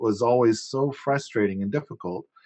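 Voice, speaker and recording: The speaking pace is moderate. Pitch varies in an ordinary way. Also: man. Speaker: permaculture podcaster and land owner. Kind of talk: casual chat. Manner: loud; halting, repetitive starts.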